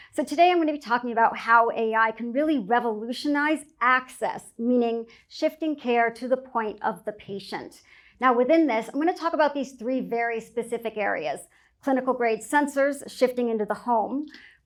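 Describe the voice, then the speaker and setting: Loud and high-pitched, a woman speaks at a moderate pace with ordinary pitch variation on a very clean recording with a silent background. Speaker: speaker on healthcare technology, entrepreneur. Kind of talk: conference talk.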